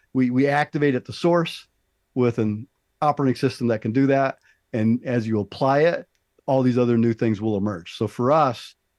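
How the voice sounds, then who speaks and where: This man's voice sits at a medium pitch with ordinary pitch variation and very even loudness. He keeps a moderate pace, and the sound is dry and close with no echo. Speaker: business consultant. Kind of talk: podcast interview answer. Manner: enthusiastic, passionate.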